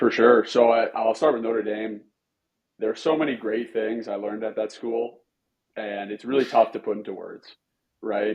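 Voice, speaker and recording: A man with a Western Canadian accent talks at a moderate pace and medium pitch, with fairly even intonation and big swings in loudness. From Canada, British Columbia (Vancouver Island). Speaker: pro hockey goalie and goalie coach. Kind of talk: podcast interview.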